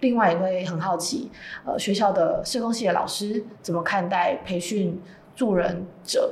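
Audible room echo surrounds a woman's voice. She speaks at a fairly slow pace in a medium pitch. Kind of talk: casual chat. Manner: talkative.

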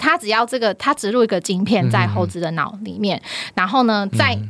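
On a very clean recording with a silent background, a woman with vocal fry speaks at medium pitch and a moderate pace, barely pausing, her pitch swinging very widely. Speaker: university finance professor. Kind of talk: casual chat.

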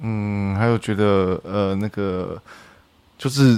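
This man's fairly low voice keeps a fairly even intonation. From central-southern Taiwan. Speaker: podcast guest. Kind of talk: casual chat.

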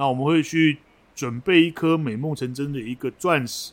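This man sounds animated, talking at a fairly quick pace. His pitch is fairly high with ordinary variation. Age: 50s. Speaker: podcast co-host, forum moderator. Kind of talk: casual chat.

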